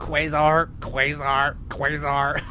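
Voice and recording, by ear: A man uses a put-on character voice at a fairly high pitch. Clear background noise sits behind him.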